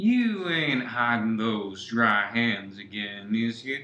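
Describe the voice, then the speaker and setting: A husky, put-on character voice at a very slow pace, with ordinary pitch variation. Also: man, medium pitch for a man. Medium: audio drama.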